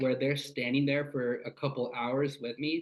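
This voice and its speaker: This man has an American accent and a fairly high pitch. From California Central Valley. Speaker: sales rep. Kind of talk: workshop talk. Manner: fast.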